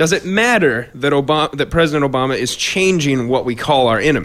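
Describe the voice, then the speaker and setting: A man with an American accent has an ordinary speaking voice. He speaks at a moderate pace and a fairly high pitch with lively intonation. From Iowa, Fort Dodge. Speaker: radio show co-host. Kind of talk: casual political discussion.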